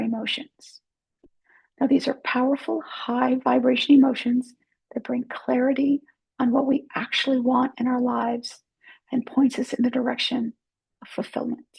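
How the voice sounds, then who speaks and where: A woman's high-pitched, monotone voice with flat intonation at a moderate pace. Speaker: life coach. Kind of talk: motivational talk to camera. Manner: conversational.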